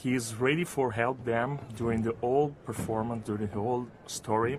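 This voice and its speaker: With an Italian accent, a man speaks at a moderate pace and medium pitch, his intonation fairly even. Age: young. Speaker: opera singer. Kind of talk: interview. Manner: halting.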